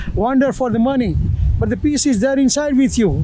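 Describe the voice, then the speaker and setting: A man speaks at a fairly quick pace with an extremely high pitch and fairly even intonation, with noticeable background noise and audible room echo. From India. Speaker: street interviewee, tourist. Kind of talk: street interview. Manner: halting, many fillers.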